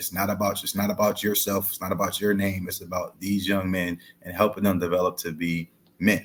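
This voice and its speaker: A man with an American accent speaks at a fairly quick pace in a fairly low voice. His intonation is monotone and flat, while his loudness swings widely. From US Midwest (Ohio). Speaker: high school football coach. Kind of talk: interview.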